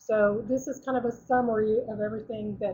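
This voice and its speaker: A woman's fairly high voice has a dark, mellow tone and sounds somewhat breathy. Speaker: product representative giving a presentation. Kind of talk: webinar presentation. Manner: fast; halting, many fillers.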